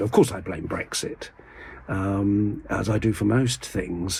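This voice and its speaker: A man talks with an English accent. His pitch sits fairly low. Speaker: video blogger. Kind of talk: casual vlog monologue. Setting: in a church. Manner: whispering; halting.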